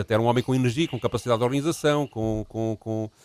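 The sound is dry and close, without any echo. A man speaks at a very fast pace. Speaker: history podcast co-host. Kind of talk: casual chat.

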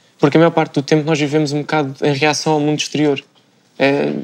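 A man is speaking. His pace is very fast. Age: 20s. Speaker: professional cyclist. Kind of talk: casual panel discussion.

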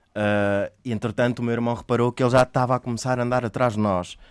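At a very fast pace, a man speaks at a medium pitch in a dry, close sound with no echo. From Mozambique, then Portugal from age 8. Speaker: actor. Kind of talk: interview storytelling. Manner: halting.

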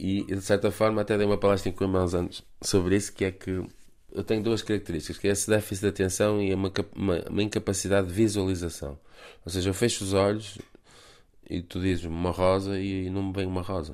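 A man's fairly low-pitched voice, fairly quick in pace, with monotone, flat intonation. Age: 40s. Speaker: film director. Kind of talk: radio interview. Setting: remote call.

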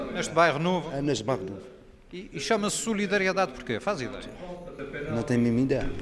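A fairly high-pitched man at a very fast pace, with very wide pitch swings, long, frequent pauses and noticeable background noise. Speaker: radio reporter. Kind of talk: field reporting narration. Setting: outdoors on the street.

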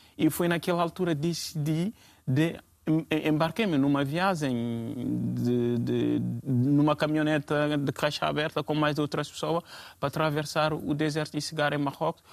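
The man's pitch sits fairly high. He talks at a moderate pace. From Guinea (Conakry). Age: 20s. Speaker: refugee. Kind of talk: panel discussion. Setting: TV studio. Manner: halting.

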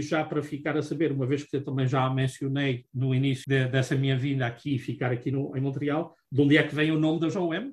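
A man speaks at a moderate pace with a fairly high pitch. His voice is somewhat breathy, with hardly any pauses. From Azores, Portugal. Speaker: accountant and business owner. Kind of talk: interview. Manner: halting, many fillers.

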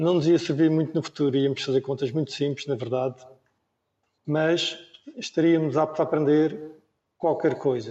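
A man's fairly high voice at a moderate pace, with long, frequent pauses and fairly even intonation. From Madeira, Portugal. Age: 50s. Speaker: former Olympic windsurfer. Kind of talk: panel discussion. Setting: remote video call.

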